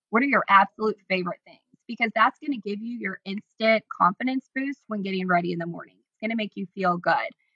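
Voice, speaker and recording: Speaking very fast with an American accent, a woman with a bright, sharp tone and medium pitch uses ordinary pitch variation and big swings in loudness, heard in a dry, close sound with no echo. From Illinois, Decatur. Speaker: social media influencer and stylist. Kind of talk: casual interview chat.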